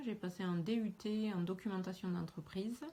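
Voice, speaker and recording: With a strong Toulouse accent, a woman speaks at medium pitch in a dark, mellow, somewhat breathy tone with fairly even intonation. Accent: southern French Toulouse accent, still strong. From southwest France, Aveyron and Toulouse. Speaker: teacher. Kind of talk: self-introduction video. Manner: hesitant, with fillers.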